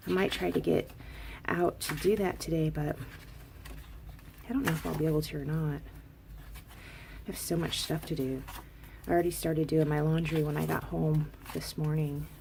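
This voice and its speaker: The speaker is soft-spoken and keeps a moderate pace, with long, frequent pauses. Noticeable background noise runs underneath. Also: woman. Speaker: crafting vlogger. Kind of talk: casual haul video. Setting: at home, craft room. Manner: quiet, soft-spoken.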